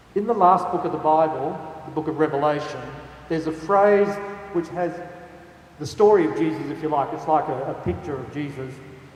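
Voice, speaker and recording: Speaking at a fairly quick pace with long, frequent pauses, a man with an Australian accent and a fairly high pitch shows ordinary pitch variation amid audible room echo and noticeable background noise. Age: 60s. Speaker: archbishop. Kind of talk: talk to a youth audience.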